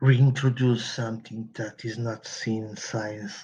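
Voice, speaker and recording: Against a quiet background, a man with a non-native accent speaks at a medium pitch in a monotone, flat delivery that is somewhat breathy. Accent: non-native English, working on pronunciation. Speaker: podcast host, game publisher. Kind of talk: solo podcast monologue. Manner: halting, repeats words.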